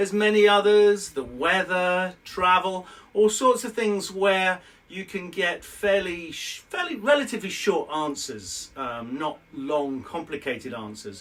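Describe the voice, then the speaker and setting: A high-pitched man with a British accent speaks with lively intonation and big swings in loudness. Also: fairly slow pace. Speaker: IELTS teacher. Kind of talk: educational lesson to camera. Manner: conversational, explanatory.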